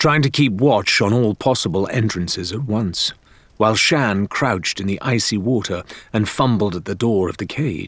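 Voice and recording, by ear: A natural voice reading aloud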